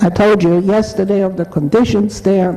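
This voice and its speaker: Fairly slow speech from a woman, with noticeable noise in the background. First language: German. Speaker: Holocaust survivor speaker. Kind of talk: testimony.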